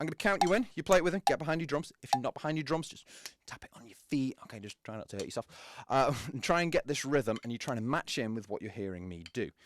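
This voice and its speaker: Very fast speech from a fairly high-pitched man with very wide pitch swings, dry and close with no echo, on a very clean recording with a silent background. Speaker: drum teacher. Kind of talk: tutorial. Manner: casual.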